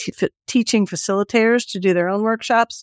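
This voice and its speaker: This is an unremarkable speaking voice with ordinary pitch variation. The sound is dry and close, with no echo. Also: woman. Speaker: community consultant. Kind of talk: casual interview.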